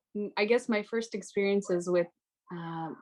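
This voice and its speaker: Speaking with an American accent, a woman uses a medium pitch and ordinary pitch variation. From United States. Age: 20s. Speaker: high school literature teacher. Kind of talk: panel discussion.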